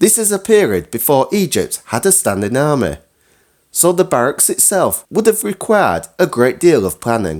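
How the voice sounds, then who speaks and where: A man's fairly high voice with vocal fry, very wide pitch swings and a moderate pace. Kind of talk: scripted history talk to camera.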